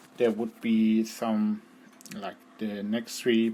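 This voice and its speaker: A man speaks with a German accent at a fairly slow pace. His intonation stays fairly even. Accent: non-native English, German. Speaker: gaming guide creator. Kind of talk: tutorial. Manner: halting, many fillers.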